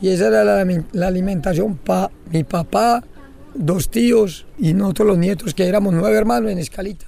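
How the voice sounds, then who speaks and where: A high-pitched man talks at a moderate pace with lively intonation over noticeable background noise. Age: old. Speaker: fisherman and environmental leader. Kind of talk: interview testimony.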